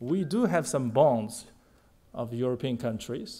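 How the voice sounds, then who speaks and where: With a Chinese accent, a man speaks at a fairly slow pace in a dark, mellow tone with lively intonation, on a very clean recording with a silent background. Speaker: diplomat. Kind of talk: formal speech. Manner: formal.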